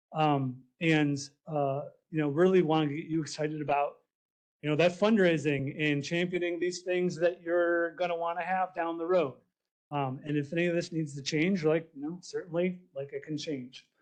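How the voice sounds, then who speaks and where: Loud male speech, high-pitched for a man, at a moderate pace with fairly even intonation. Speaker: park planning presenter. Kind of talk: public presentation.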